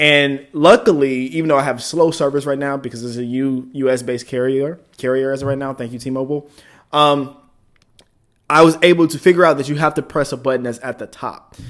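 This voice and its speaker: A man with a normal speaking voice and an American accent talks at a fairly quick pace, his fairly high pitch paired with fairly even intonation and big swings in loudness. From United States. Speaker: podcast host. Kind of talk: casual storytelling to camera.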